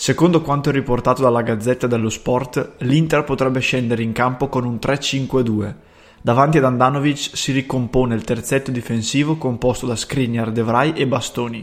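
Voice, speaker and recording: A man with an Italian accent talks at a fairly quick pace with hardly any pauses. His medium pitch holds a fairly even intonation. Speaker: sports news presenter. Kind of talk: brisk matchday news bulletin, scripted-sounding. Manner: fast, businesslike, rattling off names and formations.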